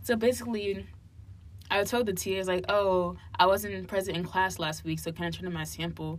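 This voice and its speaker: In an American accent, a woman speaks at a fairly quick pace, with audible room echo around her. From New Jersey (Hillside, near Newark). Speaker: college student. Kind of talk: casual chat.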